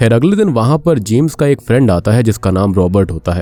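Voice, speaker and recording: A man with lively intonation talks at a moderate pace while noticeable background noise carries on. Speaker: movie explainer YouTuber. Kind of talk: film plot narration.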